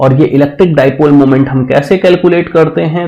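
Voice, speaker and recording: A man speaks at a fairly high pitch with ordinary pitch variation, a somewhat breathy quality, and audible room echo. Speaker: physics teacher. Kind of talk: lecture. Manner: slow.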